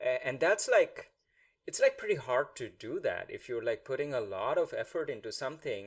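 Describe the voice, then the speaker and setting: Here a man talks at a moderate pace. He has a Bengali accent. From India. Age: 30s. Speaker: podcast host. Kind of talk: interview.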